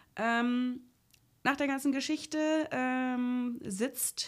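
A woman's high-pitched voice. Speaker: film podcast co-host. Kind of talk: casual film review chat. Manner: hesitant, many filler sounds.

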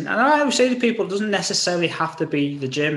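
Someone speaks with an English accent in a space with audible room echo. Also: man. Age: 40s. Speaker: podcast host and personal trainer. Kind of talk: casual chat.

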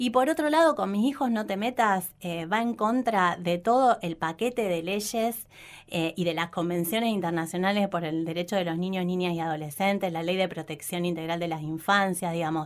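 A woman with an unremarkable speaking voice, medium pitch and ordinary pitch variation, at a moderate pace with hardly any pauses, in a very clean recording with a silent background. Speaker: education official. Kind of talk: interview.

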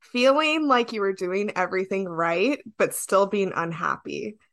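A woman in a normal speaking voice, medium pitch, moderate pace, quiet background. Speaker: podcast host and producer. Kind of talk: podcast interview.

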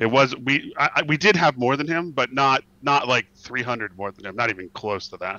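With a plain, everyday voice, a man speaks at a moderate pace in a medium pitch, with lively intonation, big swings in loudness, and hardly any pauses. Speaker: alliance executor, game guest. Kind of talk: casual chat. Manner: joking, bantering.

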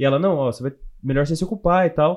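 A man talks at a moderate pace with a fairly high pitch. He has an ordinary speaking voice. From interior of São Paulo state, Brazil (Louveira). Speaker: software developer. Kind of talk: casual interview chat.

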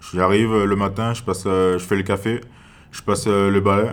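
A man with a fairly low voice talks at a moderate pace, room echo audible around him. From French Guiana, Cayenne. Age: young. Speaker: gendarme. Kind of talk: interview. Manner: halting.

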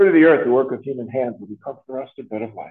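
At a very fast pace, a man talks at medium pitch. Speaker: priest celebrating Mass. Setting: school chapel with congregation.

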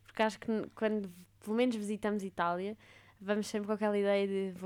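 In a very clean recording with a silent background, a woman with a medium pitch talks at a fairly quick pace in a monotone, flat intonation. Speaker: podcast host. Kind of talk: casual interview chat.

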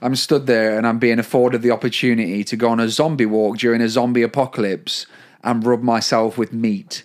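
In a very clean recording with a silent background, a man with an unremarkable speaking voice talks at a fairly quick pace, with medium pitch, very even loudness and fairly even intonation. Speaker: podcast co-host. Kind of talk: casual comedic chat.

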